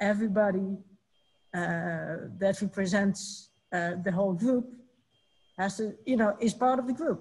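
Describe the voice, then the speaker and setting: A woman speaks with a Dutch accent and a somewhat breathy voice. Her intonation is fairly even, and the background is quiet. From Netherlands. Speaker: musicians' union representative; panelist. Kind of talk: online panel discussion. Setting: video call. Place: home room. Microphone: webcam.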